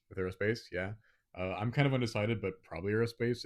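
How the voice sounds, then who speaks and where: A soft-spoken man with an American accent talks at a very fast pace. The recording is very clean, with a silent background. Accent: sounds American. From Botswana. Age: young. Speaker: podcast co-host, engineering student. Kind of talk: casual chat. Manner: quiet, soft-spoken. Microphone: handheld mic held close to mouth.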